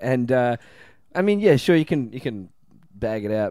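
Here a man speaks with an Australian accent. His tone is dark and mellow, and his intonation is lively. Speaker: comedian. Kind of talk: casual chat.

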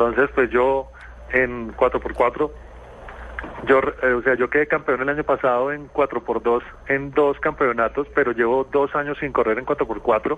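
Speech comes at a very slow pace in a flat monotone. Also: man, medium pitch for a man. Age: 40s. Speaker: rally driver and dentist. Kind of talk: radio interview. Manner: halting, with frequent repetitions.

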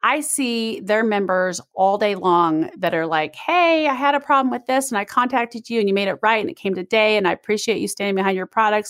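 A woman talks at a fairly quick pace with hardly any pauses, her pitch fairly high and her intonation lively. It is a plain, everyday voice, recorded dry and close with no echo. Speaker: podcast co-host. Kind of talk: casual chat.

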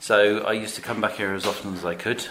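Noticeable background noise and a man talking fairly quickly. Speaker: deli owner. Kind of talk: casual interview. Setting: in a cafe.

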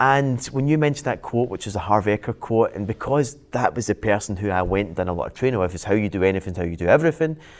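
With a Glaswegian accent, the speaker talks at a very fast pace with lively intonation. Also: man, fairly low pitch for a man, hardly any pauses. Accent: Glaswegian Scottish. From Scotland, Glasgow. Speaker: business and property coach. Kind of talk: casual interview chat.

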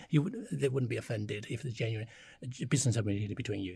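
Vocal fry marks this man's speech, which has ordinary pitch variation. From China. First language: Chinese. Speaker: China strategy advisor, former diplomat. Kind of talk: panel discussion. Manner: halting, many fillers.

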